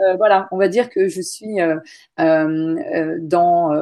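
This woman's voice sits fairly low, its tone dark and mellow. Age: 40s. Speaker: website founder. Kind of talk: interview.

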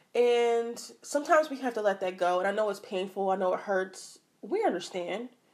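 In an American accent, a woman speaks at a fairly quick pace with a fairly high pitch, an animated tone and ordinary pitch variation. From Philadelphia, Pennsylvania. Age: 20s. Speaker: podcast host. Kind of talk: casual monologue.

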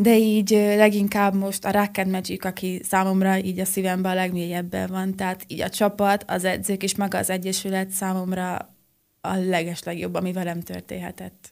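A woman speaks at a medium pitch and a moderate pace, with hardly any pauses. Her delivery is monotone and flat, and the recording is very clean with a silent background. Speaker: acrobatic rock and roll dancer. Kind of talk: radio interview. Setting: studio.

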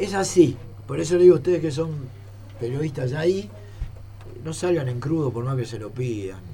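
A man with an Argentine accent at medium pitch, lively intonation and a fairly quick pace, big swings in loudness, long frequent pauses, audible room echo and noticeable background noise. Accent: Rioplatense Argentine Spanish. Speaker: retired footballer. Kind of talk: interview.

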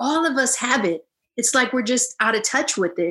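A woman with an American accent speaks in a high voice, her intonation lively and her tone animated, against a quiet background. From Illinois, US. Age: 40s. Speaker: yoga teacher and psychologist. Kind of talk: interview.

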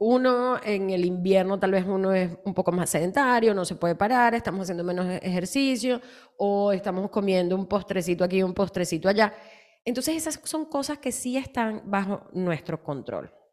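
A woman uses an ordinary speaking voice at a medium pitch. Her pace is moderate and her intonation lively. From Latin America. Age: 40s. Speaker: health and nutrition podcast host. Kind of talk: casual health chat.

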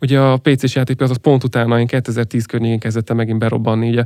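A man speaks in a plain, everyday voice at a medium pitch with fairly even intonation. The sound is dry and close, with no echo. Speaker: gaming industry executive. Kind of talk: interview.

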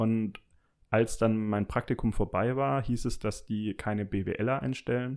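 Speaking at a very slow pace, a man has a dark, mellow tone at a medium pitch with fairly even intonation. The recording is very clean, with a silent background. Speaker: former classmate, office professional. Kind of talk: casual chat.

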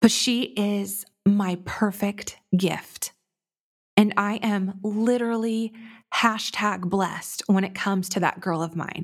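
The recording is very clean, with a silent background. A woman with an American accent speaks at a very slow pace. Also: medium pitch for a woman. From Southern California. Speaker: podcast host. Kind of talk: casual monologue. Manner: animated.

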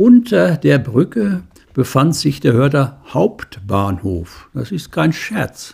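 The speaker goes at a very slow pace, with vocal fry and very wide pitch swings. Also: man, fairly high pitch for a man. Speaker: local historian and author. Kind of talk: reading aloud.

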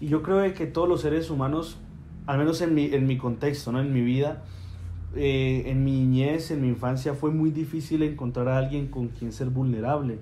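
Audible room echo surrounds a man speaking at a moderate pace. His voice is fairly high, somewhat breathy, and fairly even in intonation. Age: 20s. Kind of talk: casual faith conversation.

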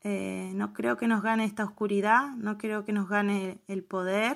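On a very clean recording with a silent background, a woman at a medium pitch speaks at a fairly slow pace. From Argentina, Neuquén. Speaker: Mapuche activist and commentator. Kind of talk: recorded opinion piece.

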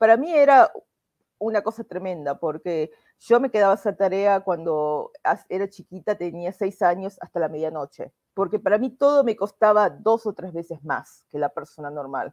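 With lively intonation, a woman talks at a moderate pace in a dry, close sound with no echo. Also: medium pitch for a woman. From Argentina, Buenos Aires. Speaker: immigration lawyer. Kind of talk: interview.

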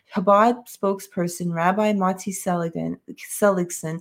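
A woman speaks in a New York accent at medium pitch with monotone, flat intonation. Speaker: podcast co-host. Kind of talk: casual chat.

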